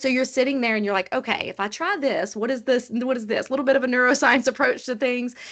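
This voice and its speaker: Talking at a very fast pace with hardly any pauses, a woman uses a high pitch and ordinary pitch variation. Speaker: HR executive, panel speaker. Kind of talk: panel discussion on video call.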